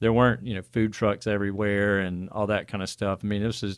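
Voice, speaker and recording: The very clean recording, with a silent background, captures a man speaking at a fairly low pitch in a monotone, flat intonation. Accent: Alabama. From Birmingham, Alabama. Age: 40s. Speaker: metal band member.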